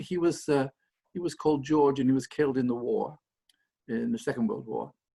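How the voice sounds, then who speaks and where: This man speaks with a Lancashire accent. His pace is fairly quick. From northern England, Blackburn, Lancashire. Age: 70s. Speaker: anthropology professor. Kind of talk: interview. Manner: halting, many repetitions.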